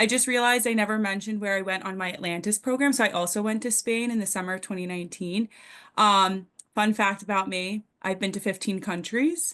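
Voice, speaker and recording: Against a quiet background, a woman speaks at a very fast pace, with a medium pitch and ordinary pitch variation. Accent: Long Island. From Long Island, New York. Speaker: nursing student. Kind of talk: webinar presentation.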